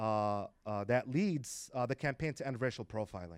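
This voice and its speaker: A man talks in a medium pitch with ordinary pitch variation and a normal speaking voice. The sound is dry and close, with no echo. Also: very clean recording, silent background. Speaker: community organizer. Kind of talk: public talk to students. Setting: stage with audience.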